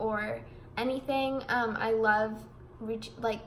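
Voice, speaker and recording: A woman with a fairly high pitch speaks in a flat monotone, with audible room echo and noticeable background noise. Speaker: vlogger. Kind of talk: casual vlog monologue. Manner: rambling, mumbling.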